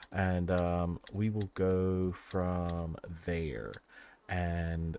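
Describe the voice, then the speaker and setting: A man speaks with a very deep, low pitch and a dark, mellow tone. The recording is very clean, with a silent background. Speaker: gaming YouTuber. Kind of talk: gameplay commentary wrap-up. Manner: soft-spoken, quieter than normal; casual with many filler words.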